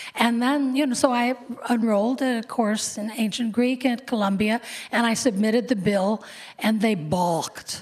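A woman with an American accent speaks at a fairly high pitch. Her pitch variation is ordinary, and noticeable background noise is present. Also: moderate pace. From US Midwest (Cleveland, Ohio). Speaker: copy editor and author. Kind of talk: interview on stage. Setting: stage with audience.

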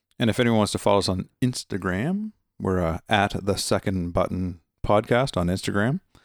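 At a fairly low pitch, a man with an ordinary speaking voice talks at a moderate pace, with ordinary pitch variation and very even loudness. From Nova Scotia, Canada. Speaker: podcast co-host, paramedic. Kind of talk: casual chat.

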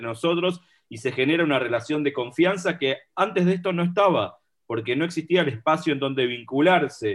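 A man speaks at a moderate pace. He has a plain, everyday voice. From Argentina, Buenos Aires area. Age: 40s. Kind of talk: casual chat.

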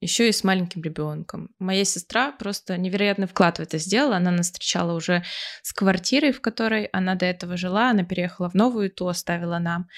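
A very fast woman's voice at medium pitch, with ordinary pitch variation, dry and close with no echo, on a very clean recording with a silent background. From Siberia, Russia. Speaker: podcast co-host. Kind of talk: casual chat.

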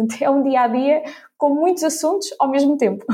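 A woman speaks at a fairly quick pace in a high pitch with ordinary pitch variation. Her tone is dark and mellow. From Ílhavo, Aveiro region, northern Portugal. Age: 20s. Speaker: corporate innovation professional. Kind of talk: interview.

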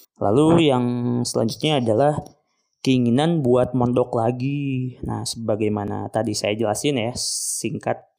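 In an ordinary speaking voice, a man talks at a fairly slow pace with fairly even intonation. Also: medium pitch for a man. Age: 20s. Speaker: podcast host, postgraduate student in Islamic education. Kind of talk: solo reflective monologue. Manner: casual, relaxed.

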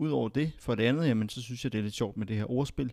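A man with a medium pitch and ordinary pitch variation is heard on a very clean recording with a silent background. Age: 20s. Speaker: podcast host. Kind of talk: podcast introduction monologue. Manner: hesitant, with filler sounds.

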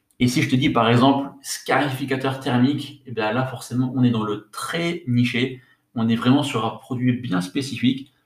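Speaking at a moderate pace, a man keeps his medium pitch on fairly even intonation. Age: 30s. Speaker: podcast host, online entrepreneur. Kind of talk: solo podcast tutorial. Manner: casual, with hesitations and repetitions.

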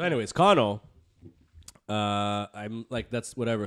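In a very clean recording with a silent background, a man with an American accent and a plain, everyday voice speaks at a moderate pace in a fairly low pitch. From US Northeast (Bronx, New York). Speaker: podcast co-host. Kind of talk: casual chat. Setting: studio.

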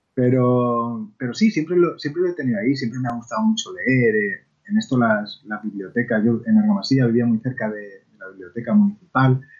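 A normal speaking voice from a man at medium pitch, fairly quick with hardly any pauses, lively intonation and big swings in loudness. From Spain, La Mancha (Ciudad Real). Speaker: children's book author. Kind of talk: interview.

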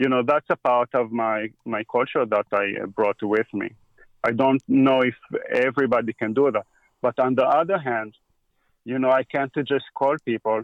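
Speaking with an Israeli accent, a man uses a medium pitch, ordinary pitch variation and a moderate pace. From Israel, grew up on a kibbutz. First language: Hebrew. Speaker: equipment repair technician. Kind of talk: casual interview.

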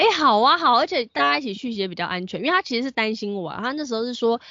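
Here a woman speaks with a Taiwanese accent. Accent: Taiwanese Mandarin. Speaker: podcast co-host. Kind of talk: casual chat. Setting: home.

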